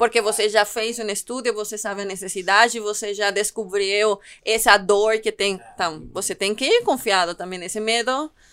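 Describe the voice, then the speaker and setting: A fairly high female voice with a Spanish accent, fairly even intonation and hardly any pauses, on a very clean recording with a silent background. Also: moderate pace. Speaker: podcast co-host. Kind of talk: podcast host chat and summary.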